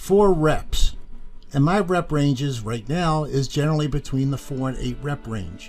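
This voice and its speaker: A man speaks at a fairly slow pace with lively intonation and a fairly high pitch. His voice is somewhat breathy. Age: 60s. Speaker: fitness coach. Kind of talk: casual monologue to camera. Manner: conversational, with fillers.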